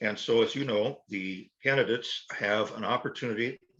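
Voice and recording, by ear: A man's fairly low voice with a fairly bright tone, ordinary pitch variation, and a moderate pace.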